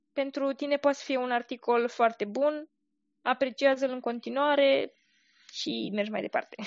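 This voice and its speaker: Her pitch high and her intonation fairly even, a woman speaks. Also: moderate pace. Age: 20s. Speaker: blogger and military employee. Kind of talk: interview.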